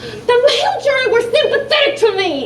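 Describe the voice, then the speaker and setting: Extremely high-pitched put-on character voice from a woman, theatrical in tone, at a moderate pace with slight echo and clear background noise. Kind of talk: vaudeville stage comedy. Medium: stage play. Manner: brash, theatrical.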